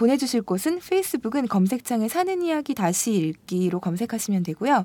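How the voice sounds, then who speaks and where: The voice is dark, mellow and somewhat breathy, moving at a fairly quick pace with very wide pitch swings, and the sound is dry and close with no echo. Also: woman. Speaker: podcast co-host. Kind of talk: casual chat.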